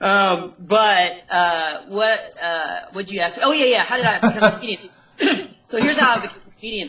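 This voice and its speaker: A man with an American accent uses a raised, projected voice, high in pitch, with lively intonation at a moderate pace over noticeable background noise. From North Texas. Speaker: comedian. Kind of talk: interview.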